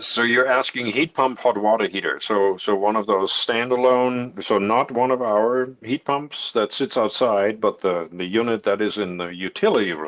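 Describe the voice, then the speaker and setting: Speaking with a German accent, a man keeps a moderate pace and a medium pitch, with ordinary pitch variation and hardly any pauses. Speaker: heat pump company representative. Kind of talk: webinar Q&A answer. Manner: hesitant with many fillers.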